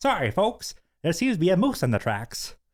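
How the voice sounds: On a very clean recording with a silent background, a man does a high-pitched put-on character voice at a fairly quick pace with very wide pitch swings.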